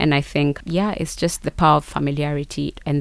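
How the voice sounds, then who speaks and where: Very fast and in a very deep, low pitch, a woman speaks with a Kenyan accent in a monotone, flat intonation. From Kenya, Kericho (Rift Valley). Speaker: marketing consultant and entrepreneur. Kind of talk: interview.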